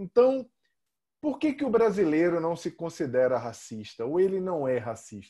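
With a high pitch and very wide pitch swings, a man speaks at a moderate pace. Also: very clean recording, silent background. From Brazil. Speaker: podcast host and author. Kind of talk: interview conversation.

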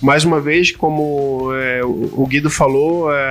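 With fairly even intonation, a man's fairly high voice comes through noticeable background noise. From Florianópolis, Brazil. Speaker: hospital administrator. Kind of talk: casual chat.

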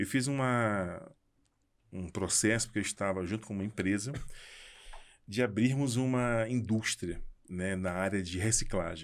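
At a fairly slow pace, a man with a fairly low pitch and ordinary pitch variation speaks, leaving long, frequent pauses. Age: 50s. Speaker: architect and entrepreneur. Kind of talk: casual chat. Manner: halting, repeats words.

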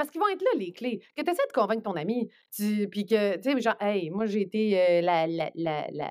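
A woman with a normal speaking voice at medium pitch and a fairly quick pace, on a very clean recording with a silent background. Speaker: journalist. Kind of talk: casual podcast interview.

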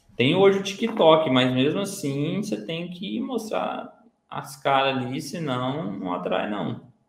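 Audible room echo surrounds a man with a fairly high pitch. He talks at a very slow pace with very wide pitch swings and hardly any pauses. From Minas Gerais, Brazil. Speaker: digital marketer, former bus conductor. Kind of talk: casual interview chat.

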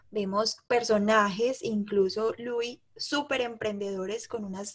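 A woman's fairly high voice at a very slow pace. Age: 20s. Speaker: podcast co-host, entrepreneur and mother. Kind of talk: casual chat.

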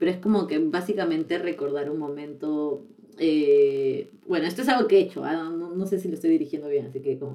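With a dark, mellow tone and a very deep, low pitch, a woman talks at a fairly quick pace with ordinary pitch variation. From Peru. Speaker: podcast co-host. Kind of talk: casual chat. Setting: studio.

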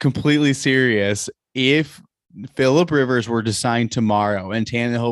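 This man has a normal speaking voice at medium pitch. He speaks at a fairly slow pace with ordinary pitch variation. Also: very clean recording, silent background. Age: 30s. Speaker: fantasy football podcast host. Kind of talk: casual chat.

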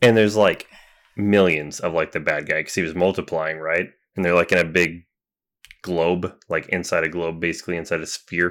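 A man speaks in a monotone with flat intonation and a very deep, low pitch. The recording is very clean, with a silent background. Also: moderate pace. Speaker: podcast co-host. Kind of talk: casual chat.

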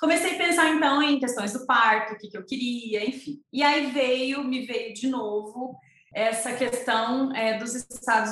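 A woman's speech comes through noticeable background noise. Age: 30s. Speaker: entrepreneur offering postpartum planning for mothers. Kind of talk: interview conversation.

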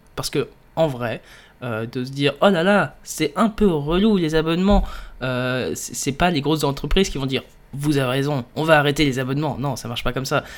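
A man with a fairly high pitch speaks at a moderate pace. His pitch varies in an ordinary way. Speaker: podcaster and illustrator. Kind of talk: casual solo monologue. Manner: hesitant, many fillers. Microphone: new USB microphone.

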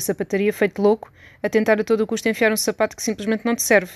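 A woman talks very fast in a flat monotone at a medium pitch. The sound is dry and close with no echo, over a quiet background. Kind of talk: literary audiobook reading, intimate essay-like monologue addressed to 'you'. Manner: conversational, witty and wry, with a confiding tone and rhetorical questions.

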